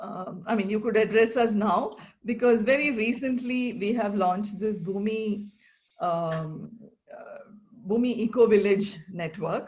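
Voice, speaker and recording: A woman with a somewhat breathy, fairly high voice speaks at a fairly slow pace, her loudness swinging widely while her pitch varies in an ordinary way. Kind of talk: conversational interview host.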